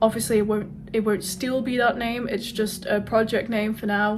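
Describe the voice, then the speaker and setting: A woman speaks with a Welsh accent at a moderate pace. Her fairly high voice carries vocal fry. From Wales. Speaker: author vlogger. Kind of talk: casual vlog talk. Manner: casual, with hesitations.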